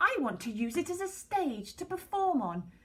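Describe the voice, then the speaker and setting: A put-on character voice sits at an extremely high pitch with very wide pitch swings. The pace is moderate. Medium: read story. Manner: nervous.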